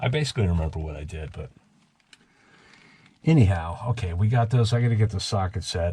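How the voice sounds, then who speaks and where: A man speaks at a moderate pace with ordinary pitch variation and a somewhat breathy quality. His tone is dark, mellow and relaxed. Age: 60s. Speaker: boat-restoring video blogger. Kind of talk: casual solo vlog narration while working. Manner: relaxed, halting with fillers.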